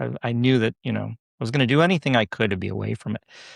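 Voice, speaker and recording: Talking at a very fast pace, a man with a medium pitch and vocal fry comes through dry and close with no echo, on a very clean recording with a silent background. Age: 60s. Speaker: yoga instructor and nurse. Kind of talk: podcast interview.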